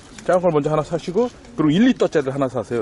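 A man's voice with very wide pitch swings, a dry sound with no echo and light background noise. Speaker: cyclist demonstrating a product. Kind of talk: casual product demo commentary. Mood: playful, laughing. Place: street. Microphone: helmet.

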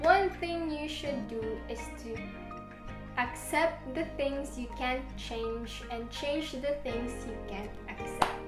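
Noticeable background noise runs under speech delivered at a very slow pace. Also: woman. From Philippines. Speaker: lifestyle vlogger. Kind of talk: casual talk to camera. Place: home room. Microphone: camera far.

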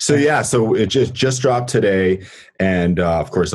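Here a man talks with an American accent. His intonation is lively and his pace moderate. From Massachusetts, US. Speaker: keyboardist and producer. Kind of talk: casual interview chat.

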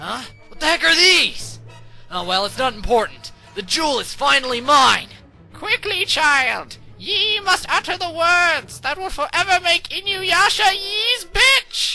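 Faint music plays behind a woman speaking at an extremely high pitch and a fairly slow pace. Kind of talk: archaic speech, comic overacting. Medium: fan dub.

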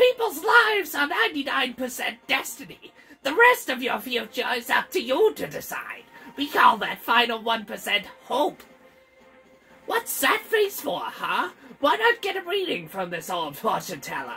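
A put-on character voice speaks with a high pitch at a fairly slow pace. Faint music plays in the background. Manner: mysterious, teasing.

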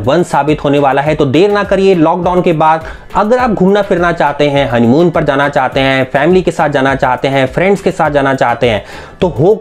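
Pacing himself fairly slowly, a man speaks with ordinary pitch variation. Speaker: travel channel host. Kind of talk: promotional vlog intro. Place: home room.

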